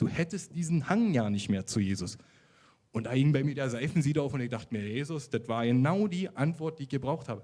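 This man speaks fairly quickly at a medium pitch, with a dark, mellow tone and lively intonation. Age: 30s. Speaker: social worker giving faith testimony. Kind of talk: testimony interview. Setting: church service with congregation.

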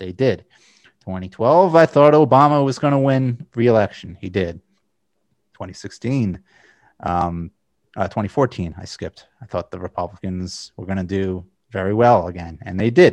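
A normal speaking voice from a man, fairly low in pitch, with lively intonation, big swings in loudness and a moderate pace, dry and close with no echo over a quiet background. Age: 30s. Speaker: political podcast host. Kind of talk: casual political discussion.

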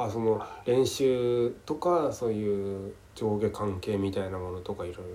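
A man's dark, mellow voice, fairly low in pitch, with ordinary pitch variation. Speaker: podcast host. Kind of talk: casual chat. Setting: call recording. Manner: halting, many fillers.

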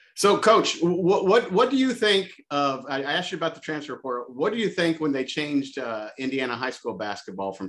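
A man with an American accent and a fairly high pitch talks at a fairly quick pace with hardly any pauses. His pitch swings very widely, and there is vocal fry. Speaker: podcast host. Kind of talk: interview. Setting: video call.

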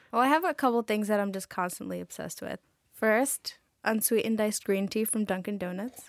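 A woman's ordinary speaking voice with an American accent, fairly high in pitch, fairly quick, with ordinary pitch variation, on a very clean recording with a silent background. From Astoria, Queens, New York. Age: young. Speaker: college student. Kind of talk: casual interview.

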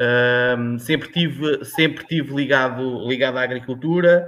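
The man's pitch is fairly high and his intonation fairly even. He keeps a moderate pace. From Portugal, Tomar (central Portugal). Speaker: agricultural consultant. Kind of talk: interview conversation. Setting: live stream. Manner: halting.

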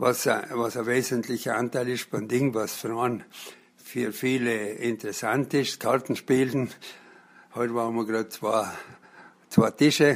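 In a South Tyrolean accent, a man speaks at a medium pitch and fairly slow pace, his intonation monotone and flat, with long, frequent pauses. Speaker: blind hiking week participant. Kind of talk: interview. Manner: hesitant with fillers.

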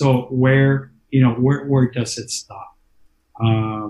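A man with an American accent, a medium-pitched voice, a dark, mellow tone, a somewhat breathy quality and fairly even intonation. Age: 50s. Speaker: county politician. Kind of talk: interview.

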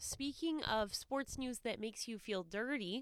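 A woman talks fairly slowly in a normal speaking voice, with ordinary pitch variation. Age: 20s. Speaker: sports podcast co-host. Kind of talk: casual chat.

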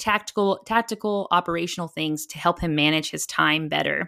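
A woman's fairly low-pitched, bright, sharp voice with an American accent at a moderate pace, in a very clean recording with a silent background. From Texas. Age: 30s. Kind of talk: interview conversation.

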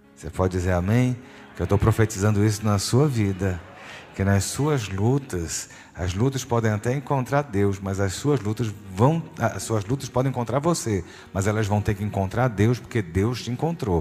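This man's voice sits fairly low. He keeps a moderate pace with ordinary pitch variation. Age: 50s. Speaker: pastor. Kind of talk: sermon. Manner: animated.

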